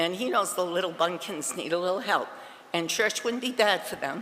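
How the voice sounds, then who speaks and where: With a New England accent, a woman talks at a moderate pace and medium pitch with ordinary pitch variation, amid noticeable background noise and audible room echo. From Massachusetts. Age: 70s. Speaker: resident speaking at public comment. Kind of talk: public comment at town council meeting. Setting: council chambers. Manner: halting.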